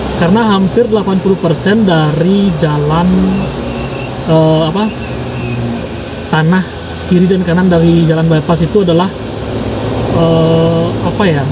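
Noticeable background noise sits behind a man's voice. He speaks at a fairly slow pace with long, frequent pauses. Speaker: travel vlogger. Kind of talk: casual vlog chat. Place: car. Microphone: phone near.

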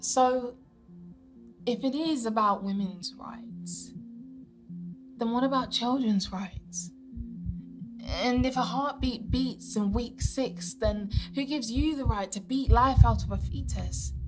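A woman speaks at a very slow pace with long, frequent pauses. Clear music plays in the background. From United Kingdom. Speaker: spoken word poet. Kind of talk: performance poetry. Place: studio. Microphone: lapel.

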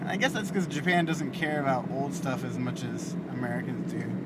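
Against loud background noise, a man talks with hardly any pauses. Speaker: vlogger; vlogger driving. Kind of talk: casual vlog monologue while driving. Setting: in a car. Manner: mumbles. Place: car. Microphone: phone near.

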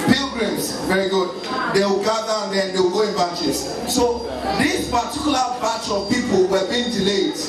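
Over noticeable background noise and with audible room echo, a man speaks with ordinary pitch variation. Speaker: wedding MC. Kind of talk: comedic storytelling to audience. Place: hall. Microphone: pa.

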